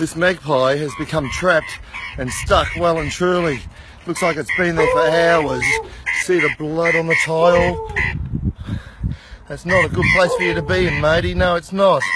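Over loud background noise, a man with an Australian accent speaks at a moderate pace with long, frequent pauses, the sound dry with no echo. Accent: Australian twang. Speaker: wildlife rescuer. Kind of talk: casual on-the-spot narration. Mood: calm, gentle, concerned. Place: garden. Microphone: phone near.

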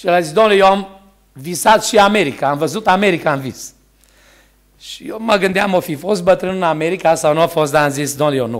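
Against a quiet background, a man with a high pitch talks at a fairly quick pace, with ordinary pitch variation and big swings in loudness. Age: 60s. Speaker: preacher. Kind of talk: sermon. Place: church. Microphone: podium.

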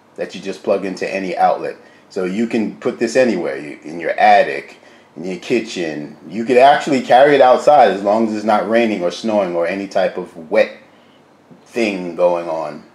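A man talks at a moderate pace. There is audible echo in the room. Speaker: home cooking channel host. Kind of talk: product review tutorial. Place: kitchen. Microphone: phone near.

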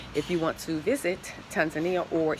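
The speaker keeps a moderate pace and fairly even intonation. Noticeable background noise runs underneath. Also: woman. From United States. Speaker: travel vlogger and relocation consultant; travel vlogger. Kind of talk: casual walking vlog to camera. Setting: outdoors at a hotel, walking with camera. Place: garden. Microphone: phone near.

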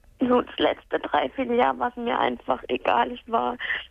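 A woman's sad tone at a fairly slow pace. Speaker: caller. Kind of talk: phone-in call about a personal matter. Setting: phone call. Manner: subdued, sounds sad.

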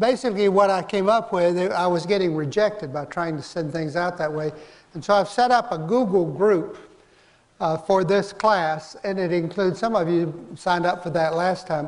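This man's voice sits high in pitch. His pitch varies in an ordinary way. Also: moderate pace. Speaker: course instructor. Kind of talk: lecture. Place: hall.

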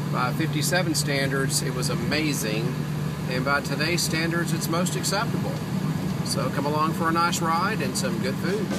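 A man at a moderate pace, with music in the background. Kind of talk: casual vlog chat. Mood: relaxed, cheerful. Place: car. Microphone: phone near.

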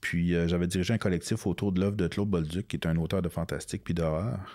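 Against a quiet background, a man with a very deep, low pitch and a dark, mellow tone talks at a very fast pace in a monotone, flat intonation. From Quebec, Outaouais (north of Gatineau); Quebec. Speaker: comic book author and illustrator; comic book author. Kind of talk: interview. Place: studio. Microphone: studio mic.

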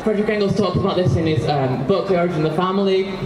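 Noticeable background noise fills the recording. The woman speaking shows ordinary pitch variation. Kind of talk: protest speech. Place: street. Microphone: handheld.

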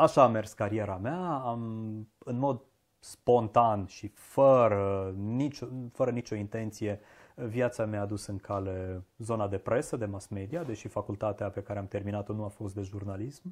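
A man's fairly low voice with ordinary pitch variation at a fairly slow pace. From Transylvania, Romania (Arad, Cluj); Transylvania, Romania. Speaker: diction teacher. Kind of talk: interview conversation. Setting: shop. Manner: slow, mellow drawl. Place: home room. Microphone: lapel.

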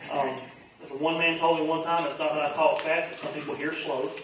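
A man speaks at a fairly quick pace in strong room echo, his fairly high, fairly bright voice showing little pitch movement.

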